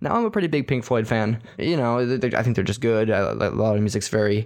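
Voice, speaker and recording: A man talks at a fairly quick pace in an ordinary speaking voice. His pitch is medium. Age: 20s. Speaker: podcast host. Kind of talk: casual solo monologue.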